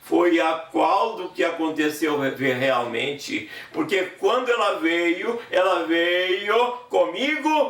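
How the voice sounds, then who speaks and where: A man with a high-pitched voice speaks at a very slow pace with hardly any pauses and very wide pitch swings, amid audible room echo and noticeable background noise. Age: 70s. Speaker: preacher and gospel singer. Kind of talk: sermon.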